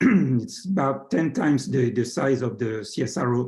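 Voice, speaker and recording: In a French accent, a man speaks with a dark, mellow tone. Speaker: science attaché, professor. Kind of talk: presentation. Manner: hesitant, many fillers.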